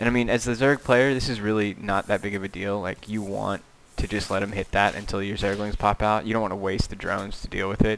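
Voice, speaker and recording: With hardly any pauses, a man rattles along at a very fast pace in a fairly low pitch and monotone, flat intonation. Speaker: video game commentator. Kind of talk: live commentary. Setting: home room. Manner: soft-spoken.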